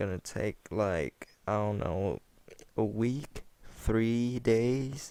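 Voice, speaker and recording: A man with a non-native accent speaks very slowly. His tone is dark and mellow, and his pitch fairly low. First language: not English. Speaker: gaming commentator. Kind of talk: gameplay commentary chat. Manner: halting, many repetitions and fillers.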